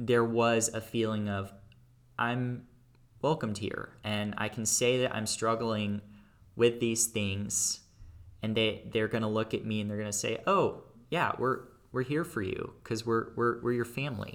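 An unremarkable speaking voice from a man with an American accent, medium pitch and fairly even intonation, on a very clean recording with a silent background. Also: fairly slow pace. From Texas, Dallas area. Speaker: college student. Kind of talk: personal testimony.

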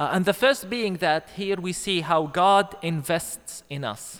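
In a very clean recording with a silent background, a man speaks at a very slow pace with lively intonation. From Palestine, Bethlehem. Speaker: pastor. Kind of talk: sermon. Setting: church. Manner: halting, many fillers.

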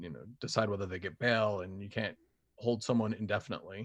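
A normal speaking voice: a man with an American accent, fairly low in pitch, at a fairly quick pace with ordinary pitch variation, against a quiet background. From Utah (Springville, near Provo). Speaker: former radio newsman. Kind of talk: casual chat.

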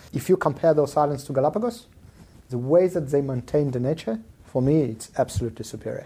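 Talking at a very fast pace, a man with a fairly high pitch, a dark, mellow tone and a somewhat breathy voice uses lively intonation. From Israel and South Africa, born in Soviet Union. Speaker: venture capital investor. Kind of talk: casual interview chat. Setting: in-person recording.

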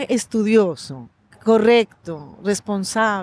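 A woman's fairly high voice at a very slow pace, dry and close with no echo. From Colombia, Pasto (Nariño, Andean region). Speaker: agenda author. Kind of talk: interview. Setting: outdoors in a park.

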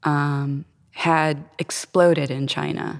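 A woman talks in a very deep, low pitch. Her intonation is fairly even. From Florida. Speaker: singer-songwriter. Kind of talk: casual interview chat. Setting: recorded in a stone chapel.

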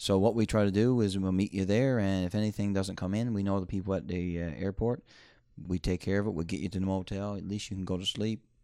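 Against a quiet background, a man with a Newfoundland accent speaks very fast at a fairly low pitch, his tone dark and mellow and his intonation fairly even. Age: 30s. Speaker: moose hunting guide and outfitter. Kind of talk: interview. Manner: halting.

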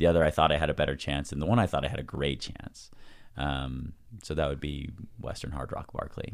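A man talks at a fairly quick pace in a very deep, low pitch with vocal fry and ordinary pitch variation. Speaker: endurance athlete and ski mountaineering racer. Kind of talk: casual interview conversation.

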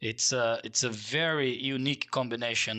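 A man speaks with a Portuguese accent at a fairly quick pace. The background is quiet. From Brazil. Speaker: transportation designer. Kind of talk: interview.

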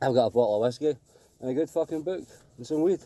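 A man with a Glaswegian accent talks at a fairly quick pace in a dark, mellow tone, with a dry, close sound and no echo. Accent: Glaswegian Scottish. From Glasgow, Scotland. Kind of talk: casual phone-in story. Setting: phone call.

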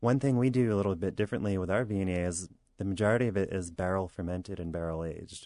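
A man talks at a very fast pace with an American accent. His voice is very deep and low, dark and mellow in tone. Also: ordinary pitch variation. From Southern New York. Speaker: winemaker. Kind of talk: interview answers. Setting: radio studio.

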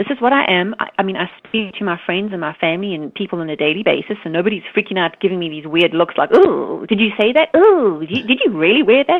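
A woman talks at a fast pace with few pauses, her medium-pitched voice carrying lively intonation.

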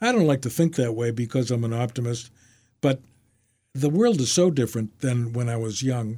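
A man with an American accent speaks at medium pitch with ordinary pitch variation. His tone is dark, mellow and somewhat breathy. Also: moderate pace. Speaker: retired lawyer and memoir author. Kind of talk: casual interview. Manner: halting.

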